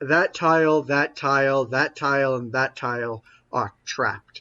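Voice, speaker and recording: A man puts on a character voice, speaking at a moderate pace and a medium pitch. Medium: actual play.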